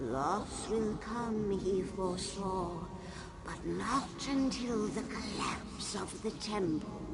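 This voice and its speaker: A put-on character voice with fairly high pitch speaks at a very slow pace. Loud background noise runs behind it. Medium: machinima. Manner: stately, solemn.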